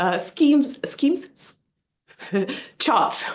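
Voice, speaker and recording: A woman with a non-native accent speaks with very wide pitch swings. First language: not English. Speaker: book club host. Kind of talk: interview.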